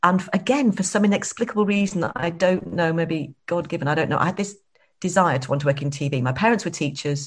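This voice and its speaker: The woman talks at a very fast pace in a fairly low, somewhat breathy voice. Her pitch varies in an ordinary way. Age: 50s. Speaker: entrepreneur. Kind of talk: interview. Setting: video call.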